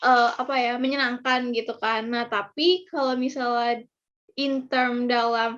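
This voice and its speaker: Against a quiet background, a woman speaks at a high pitch with fairly even intonation. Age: 20s. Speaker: university student. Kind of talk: casual chat. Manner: halting.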